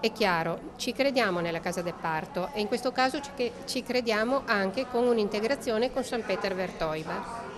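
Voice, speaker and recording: Over music in the background, the voice flows with hardly any pauses and lively intonation. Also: woman, fairly high pitch for a woman, moderate pace. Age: 60s. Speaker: local politician. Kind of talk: press interview.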